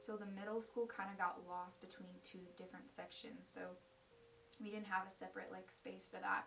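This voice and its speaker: With an American accent, a woman talks at a moderate pace, her loudness swinging widely amid audible room echo. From US, Ukrainian immigrant family. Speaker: college student sharing faith story. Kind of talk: personal testimony. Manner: casual, with many fillers.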